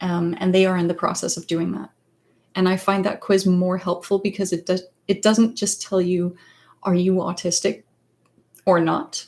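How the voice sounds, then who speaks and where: A woman with a Danish accent speaks at a moderate pace in a medium pitch, with fairly even intonation and long, frequent pauses. The recording is very clean, with a silent background. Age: 30s. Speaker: psychologist and author. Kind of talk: livestream chat. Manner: halting, many fillers.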